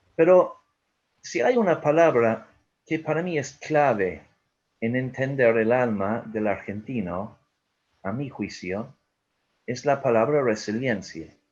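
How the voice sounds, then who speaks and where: Speaking very slowly with long, frequent pauses, a man uses lively intonation at a medium pitch in a strong Irish accent. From Ireland. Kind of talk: webinar talk.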